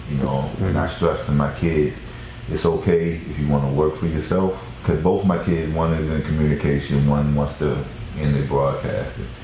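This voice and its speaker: A man with a very deep, low pitch speaks at a moderate pace with fairly even intonation. Room echo and noticeable background noise are both audible. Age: 50s. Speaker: real estate agent. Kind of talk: casual chat.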